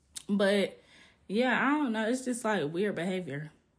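In a very clean recording with a silent background, a woman with a somewhat breathy voice talks at a moderate pace in a medium pitch. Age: 30s. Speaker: podcast host. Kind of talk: casual monologue. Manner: animated.

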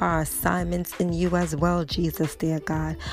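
There is music in the background. A woman speaks over it at a moderate pace. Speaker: prayer call leader. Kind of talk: fervent prayer. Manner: fervent, repetitive, exclamatory; rhythmic, rising praise with hallelujahs.

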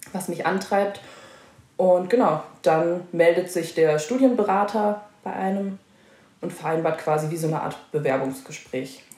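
Amid audible room echo, a woman with a fairly low pitch speaks at a fairly slow pace with ordinary pitch variation. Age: 20s. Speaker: dual-study student in social pedagogy. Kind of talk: casual interview.

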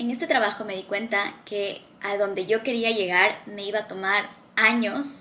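Noticeable background noise sits behind the voice. A woman talks at a fairly slow pace with a fairly high pitch. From Ecuador. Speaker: motivational video creator. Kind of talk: motivational talk to camera.

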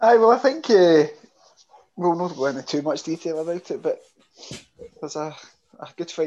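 A man with a high pitch talks at a fairly quick pace, his pitch varying in an ordinary way. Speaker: podcast co-host. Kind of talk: casual chat. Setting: video call.

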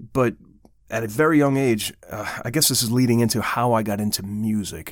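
A normal speaking voice from a man, medium in pitch, with ordinary pitch variation and a moderate pace, in a very clean recording with a silent background. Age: 50s. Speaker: metal band vocalist and podcast host. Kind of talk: casual podcast chat.

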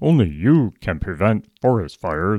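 A man's put-on character voice, fairly low in pitch, at a moderate pace, on a very clean recording with a silent background.

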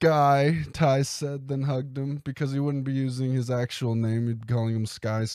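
An unforced reading voice carries the whole clip.

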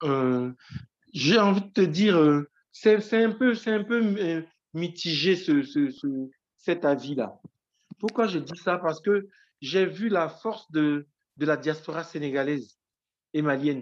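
A man speaks very slowly in a high voice, his intonation lively and his speech broken by long, frequent pauses. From Côte d'Ivoire (Issia). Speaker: writer and teacher. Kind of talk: interview testimony. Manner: halting, many repetitions and fillers.

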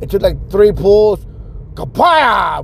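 An animated male voice over noticeable background noise. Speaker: solo podcast host. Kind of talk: casual monologue. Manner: halting, many fillers and repetitions.

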